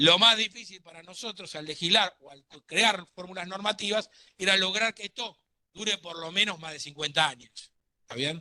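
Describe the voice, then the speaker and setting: A high-pitched man speaks in a raised, projected voice with a bright, sharp tone. His loudness swings widely and his pitch varies in an ordinary way, with a dry, close sound with no echo. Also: moderate pace. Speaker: law lecturer. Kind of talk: lecture.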